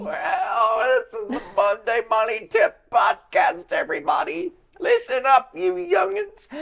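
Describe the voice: A put-on character voice, creaky and fairly high-pitched, at a fairly slow pace with hardly any pauses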